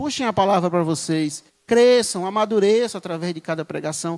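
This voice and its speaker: Here a man talks at a moderate pace, animated in tone and lively in intonation. The sound is dry and close with no echo, the recording very clean over a silent background. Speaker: lay preacher. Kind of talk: sermon. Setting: church.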